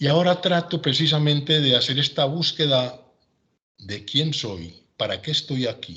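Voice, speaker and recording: A man with a bright, sharp tone at a fairly slow pace. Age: 70s. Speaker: retired civil engineer, lecturer. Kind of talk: lecture.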